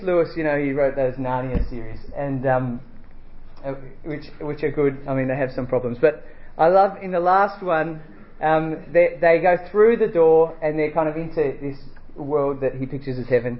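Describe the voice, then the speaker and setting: A man with an Australian accent, a fairly high voice, ordinary pitch variation, moderate pace and long, frequent pauses. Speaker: preacher. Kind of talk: sermon. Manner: halting.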